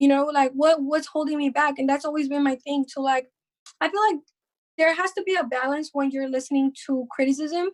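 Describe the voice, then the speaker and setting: A woman's high voice in a slight Mexican accent, with fairly even intonation and a dry, close sound with no echo. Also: fairly quick pace. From Mexico. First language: Spanish. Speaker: rapper. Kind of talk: casual podcast interview.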